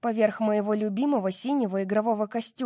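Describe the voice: The speaker simply reads aloud, plainly.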